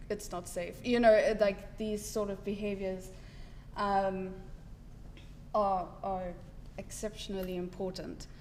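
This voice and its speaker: A woman with a medium-pitched voice speaks at a fairly slow pace, leaving long, frequent pauses, and the room echo is audible. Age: 20s. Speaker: patient advocate living with TSC. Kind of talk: personal testimony talk.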